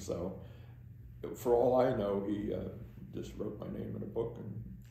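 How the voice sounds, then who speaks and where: Speaking in a Northeast Pennsylvania accent, a man uses a fairly low, dark, mellow voice with vocal fry, very wide pitch swings and a fairly slow pace. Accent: Northeastern Pennsylvania American. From Delaware Water Gap, Pennsylvania, USA. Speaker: borough council member. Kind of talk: oral history interview answer. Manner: hesitant, halting.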